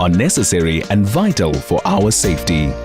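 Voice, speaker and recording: With music in the background, a man talks at a moderate pace, his pitch swinging very widely. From South Africa. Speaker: voice actor. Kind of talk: corporate training narration.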